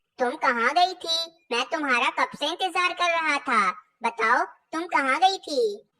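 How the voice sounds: A cartoonish character voice, high in pitch, at a moderate pace.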